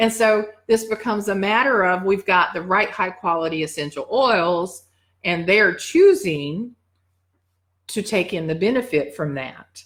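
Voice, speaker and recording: An unremarkable speaking voice, with ordinary pitch variation and a fairly slow pace. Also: woman, medium pitch for a woman. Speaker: dog wellness educator. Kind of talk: live teaching session.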